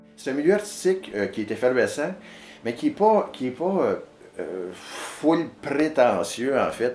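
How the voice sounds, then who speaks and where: With music playing behind him, a man in a Quebec accent talks at a fairly slow pace, his pitch swinging very widely. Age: 50s. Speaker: storyteller and video artist. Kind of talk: interview answer. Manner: rambling, casual, many hesitations.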